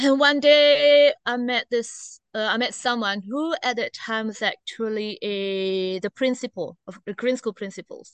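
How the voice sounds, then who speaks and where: A woman with an Indonesian accent speaks at a high pitch with lively intonation, at a fairly slow pace with hardly any pauses. The sound is dry and close, with no echo. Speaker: teacher. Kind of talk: casual interview. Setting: outdoors.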